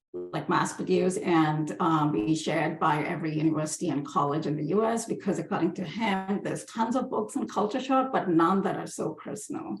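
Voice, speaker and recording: Over noticeable background noise, a woman with a fairly low pitch talks at a fairly quick pace with lively intonation and hardly any pauses. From India, Hyderabad. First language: Hindi. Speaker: book artist and designer. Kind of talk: presentation.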